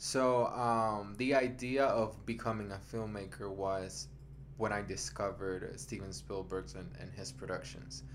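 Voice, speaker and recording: With a Puerto Rican accent, a fairly low-pitched man talks at a fairly slow pace, his pitch swinging very widely and his loudness shifting a lot, amid audible room echo. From Puerto Rico, mountain region. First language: Spanish. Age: 20s. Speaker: writer and film producer. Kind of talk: casual chat. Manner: halting.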